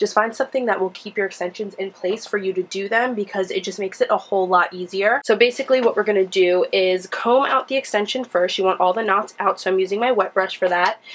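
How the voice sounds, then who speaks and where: With noticeable background noise behind her, a woman talks at a medium pitch with ordinary pitch variation. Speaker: beauty vlogger. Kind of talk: tutorial. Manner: casual, chatty.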